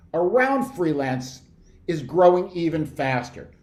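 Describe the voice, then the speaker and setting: Audible room echo surrounds a man who speaks at a fairly high pitch and a fairly slow pace. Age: 60s. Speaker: researcher presenting survey findings. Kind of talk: presentation. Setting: video call. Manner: animated.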